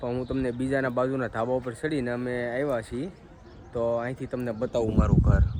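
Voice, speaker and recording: Noticeable background noise and audible room echo surround this male speaker. His pitch sits at a medium level. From Gujarat, Saurashtra (Vavera village, Rajula area). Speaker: family vlogger. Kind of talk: casual vlog narration. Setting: outdoors, village temple and rooftop.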